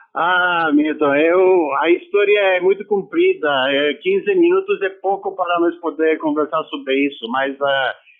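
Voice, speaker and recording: Speaking fairly slowly with hardly any pauses, a man uses a high pitch and ordinary pitch variation. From Romania. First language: Romanian (speaking Portuguese). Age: 60s. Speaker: former football player. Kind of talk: radio interview.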